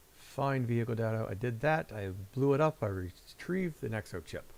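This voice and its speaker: Speaking at medium pitch and a moderate pace, a man swings his pitch very widely. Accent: Midwestern. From Ohio, US Midwest. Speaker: video game streamer. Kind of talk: casual gameplay commentary. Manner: casual, halting with fillers.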